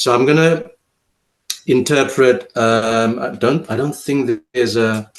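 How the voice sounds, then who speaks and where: With a South African accent, a man speaks with ordinary pitch variation. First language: Afrikaans. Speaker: poet. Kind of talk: interview. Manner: halting.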